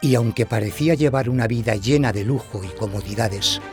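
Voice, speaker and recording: Over music in the background, a man speaks at a medium pitch and a fairly quick pace. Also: ordinary pitch variation. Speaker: voice actor. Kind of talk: documentary narration.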